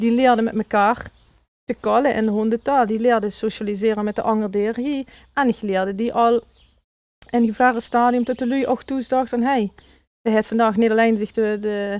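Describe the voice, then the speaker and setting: On a very clean recording with a silent background, a woman speaks in a Limburg accent at a fairly high pitch. Her delivery is fairly quick and monotone, flat in intonation, with a dry, close sound and no echo. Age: 30s. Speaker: dog coach. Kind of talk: interview answer.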